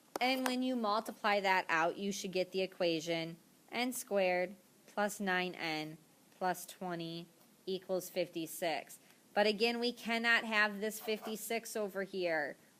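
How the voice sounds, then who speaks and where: A woman's ordinary speaking voice, medium in pitch, with ordinary pitch variation and a fairly slow pace. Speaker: math teacher. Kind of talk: tutorial. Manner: casual, filler words.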